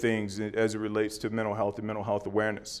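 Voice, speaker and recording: Audible room echo is heard as a man speaks. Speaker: former NFL player and league wellness executive giving a talk. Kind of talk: conference presentation.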